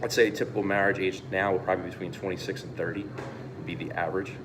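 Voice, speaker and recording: Audible room echo and noticeable background noise surround speech at a fairly quick pace. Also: man. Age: 30s. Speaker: produce business manager. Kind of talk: interview.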